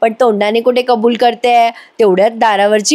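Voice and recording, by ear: Natural reading aloud with fairly even intonation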